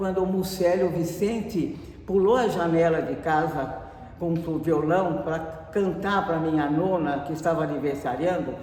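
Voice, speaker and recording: The speech goes at a fairly slow pace against noticeable background noise. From Brazil, Valinhos (São Paulo state). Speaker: interviewee, local resident. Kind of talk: oral history interview. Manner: halting.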